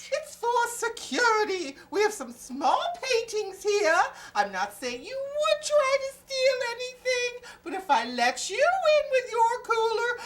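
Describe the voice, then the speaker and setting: This is a put-on character voice with extremely high pitch. It moves at a fairly slow pace. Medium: comedy sketch. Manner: polite, chatty.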